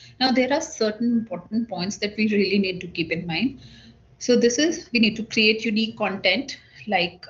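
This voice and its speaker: A woman speaks at a moderate pace and medium pitch, her voice somewhat breathy. Her intonation is lively. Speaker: government social media officer. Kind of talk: online workshop presentation.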